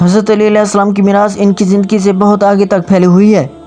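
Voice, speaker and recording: A man speaks in a high, flat monotone over music in the background. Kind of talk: Islamic religious narration.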